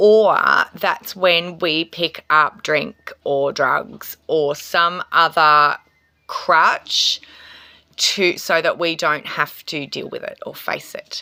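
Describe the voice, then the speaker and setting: Very slow and bright with a sharp tone, an Australian accent carries fairly even intonation and big swings in loudness. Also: woman, fairly low pitch for a woman. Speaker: tarot reader and reiki healer. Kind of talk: spiritual astrology talk to camera. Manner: casual, hesitant with fillers.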